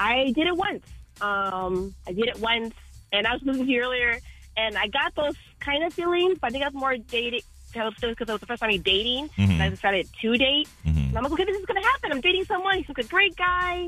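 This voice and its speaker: A woman talks very fast at a high pitch, her voice swinging widely up and down. Music plays behind her. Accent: American. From Chicago. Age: 30s. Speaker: radio call-in caller. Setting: phone. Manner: fast talker.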